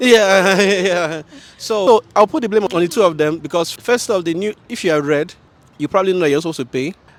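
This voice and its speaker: A man with a Nigerian accent at a high pitch and a fairly quick pace, with ordinary pitch variation and noticeable background noise. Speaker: passer-by interviewee. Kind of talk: street interview. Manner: hesitant, many fillers.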